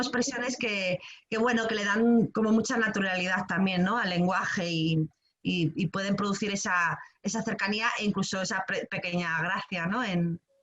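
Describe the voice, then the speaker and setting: A woman's voice at medium pitch, with ordinary pitch variation. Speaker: creative writing workshop teacher. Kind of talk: online workshop talk. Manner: fast; hesitant, many fillers.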